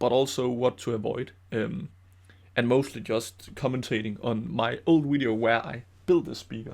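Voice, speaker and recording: In a very clean recording with a silent background, a man with a Danish accent talks at a moderate pace, his medium pitch showing ordinary variation. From Denmark. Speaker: DIY maker and YouTuber. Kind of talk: casual commentary over own old video. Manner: halting, many fillers.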